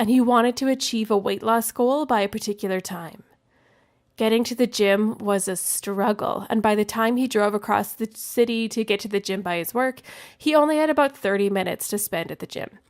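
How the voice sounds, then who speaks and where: Very clean and set against a silent background, this recording features a woman with a plain, everyday voice. Her pitch is fairly high, with ordinary pitch variation. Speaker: podcast host; registered dietitian. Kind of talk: wellness podcast talk.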